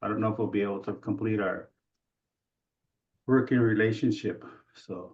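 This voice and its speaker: A man with an American accent, fairly low-pitched, at a moderate pace with fairly even intonation and long, frequent pauses. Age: 60s. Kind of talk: Q&A comment on webinar. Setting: video call webinar. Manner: halting.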